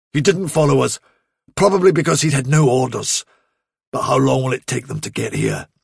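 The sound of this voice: Putting on a character voice, a man speaks at a moderate pace and medium pitch with big pitch swings, vocal fry and a slightly husky edge.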